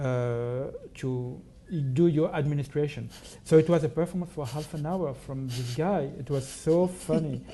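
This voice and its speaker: This man talks at a moderate pace in a French accent, his pitch fairly high. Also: ordinary pitch variation. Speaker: artist. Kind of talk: public talk.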